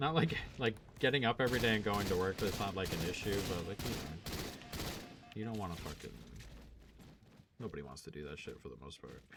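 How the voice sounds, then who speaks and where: Amid noticeable background noise, a man with a fairly low pitch talks at a fairly quick pace, broken by long, frequent pauses, with very wide pitch swings and big swings in loudness. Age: 30s. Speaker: gaming and sports betting streamer. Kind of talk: casual live-stream chat. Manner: casual, filler-heavy.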